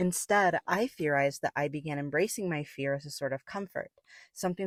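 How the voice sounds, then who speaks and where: In an American accent, a woman with a very deep, low pitch speaks at a fairly quick pace. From US West, Las Vegas. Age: 20s. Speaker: film student. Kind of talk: scripted narration. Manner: calm, measured.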